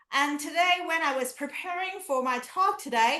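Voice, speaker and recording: A woman's high-pitched, raised and projected voice in a Chinese accent, bright and sharp in tone, with lively intonation, at a fairly slow pace, with audible room echo. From China, Canton (Guangdong). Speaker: professor. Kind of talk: lecture. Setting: video call.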